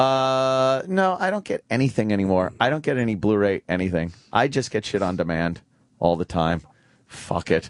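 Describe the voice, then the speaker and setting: A man's ordinary speaking voice, fairly low in pitch, with lively intonation at a moderate pace against a quiet background. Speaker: radio show host. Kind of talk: radio show banter.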